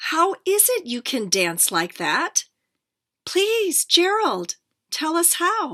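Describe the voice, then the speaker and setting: A woman performs a put-on character voice at an extremely high pitch. She speaks at a very slow pace. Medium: read story.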